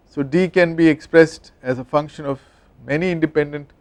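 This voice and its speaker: With a plain, everyday voice, a man speaks at a fairly high pitch and a moderate pace with ordinary pitch variation, and the sound is dry and close with no echo. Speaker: engineering professor. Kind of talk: lecture.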